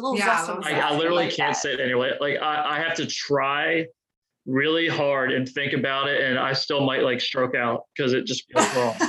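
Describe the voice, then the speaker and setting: With a Baltimore accent, a man speaks at a fairly high pitch with ordinary pitch variation. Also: moderate pace. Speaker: firefighter paramedic; podcast guest.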